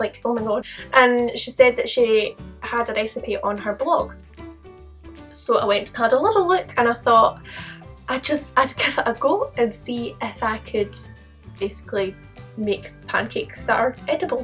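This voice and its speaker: With music playing in the background, a woman speaks in a Scottish accent, leaving long, frequent pauses. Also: moderate pace. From Scotland. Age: young. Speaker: YouTuber. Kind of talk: casual talk to camera.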